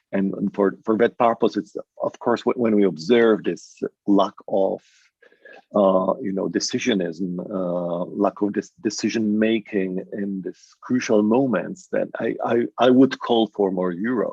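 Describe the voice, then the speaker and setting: His pace is fairly slow. The man's pitch is fairly low, with ordinary pitch variation. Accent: Polish. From Poland. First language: Polish. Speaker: academic panelist. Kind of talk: panel discussion. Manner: halting, many repetitions.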